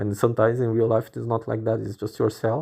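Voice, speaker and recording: Against a quiet background, a man at a medium pitch speaks in a dark, mellow tone with a non-native accent. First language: not English. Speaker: podcaster venting on own channel. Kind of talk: casual monologue. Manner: halting, repetitive.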